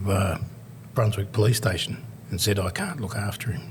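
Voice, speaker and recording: Over noticeable background noise, a man with an Australian accent speaks in a fairly low pitch. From Australia, Melbourne. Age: 60s. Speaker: motivational speaker and youth worker. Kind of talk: podcast interview, life story. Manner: conversational, with many fillers.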